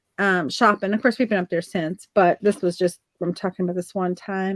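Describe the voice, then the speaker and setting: In a Southern accent, a woman talks with a dry, close sound and no echo. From Virginia, US South. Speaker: artist guest. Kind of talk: casual chat. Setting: live video stream.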